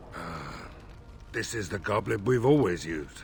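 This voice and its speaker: Using a put-on character voice, a man speaks in a raspy, fairly low pitch with lively intonation. His pace is moderate, and clear background noise runs underneath. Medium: video game. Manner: formal, measured.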